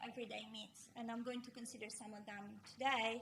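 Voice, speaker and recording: A woman with an Italian accent speaks at a high pitch with fairly even intonation. Noticeable background noise and audible room echo fill the recording. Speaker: philosophy professor. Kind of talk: lecture. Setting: art gallery with audience.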